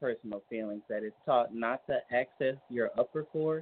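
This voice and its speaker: A man with an American accent speaks at a medium pitch and a moderate pace. He has an unremarkable speaking voice. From Texas, Dallas (born New Orleans). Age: 20s. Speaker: caller, student. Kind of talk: casual phone conversation.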